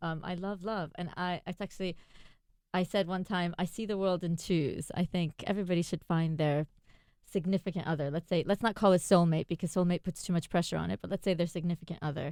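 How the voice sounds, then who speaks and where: With an American accent, a woman speaks fairly quickly in a fairly low pitch and fairly even intonation. The recording is very clean with a silent background, and the sound is dry and close with no echo. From New York, US. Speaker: love coach. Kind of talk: radio interview.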